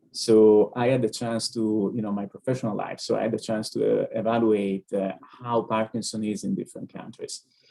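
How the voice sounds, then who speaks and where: A man's medium-pitched voice with an Italian accent, monotone and flat, at a fairly quick pace. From Italy. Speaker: neurologist. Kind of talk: webinar Q&A answer. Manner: hesitant, frequent fillers.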